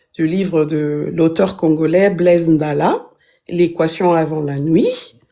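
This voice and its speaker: A woman speaks at a very slow pace with a non-native accent. Her fairly low voice has a dark, mellow tone. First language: not French (multilingual, intermittent francophone) (speaking French). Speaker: book reviewer. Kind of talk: book review in a live stream. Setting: live stream. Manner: halting, many fillers.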